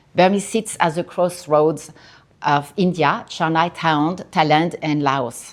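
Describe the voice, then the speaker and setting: In a strong French accent, a woman talks at a moderate pace with a fairly low pitch and ordinary pitch variation. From France, Paris. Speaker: artist. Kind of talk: artist talk. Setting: gallery with audience. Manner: halting.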